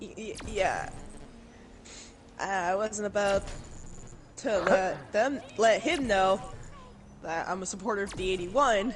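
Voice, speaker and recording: Big swings in loudness, long, frequent pauses and ordinary pitch variation amid audible room echo. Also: woman, medium pitch for a woman. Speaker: gaming streamer. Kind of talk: casual storytelling during game stream. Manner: animated.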